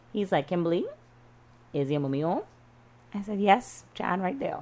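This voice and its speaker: Her intonation is lively as a woman speaks with a Bahamian accent. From Bahamas, Freeport, Grand Bahama. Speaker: freelance journalist. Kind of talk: casual chat.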